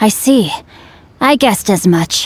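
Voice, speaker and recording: A woman puts on a character voice. It sounds raspy and fairly high-pitched. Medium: video game. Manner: formal, grandiose.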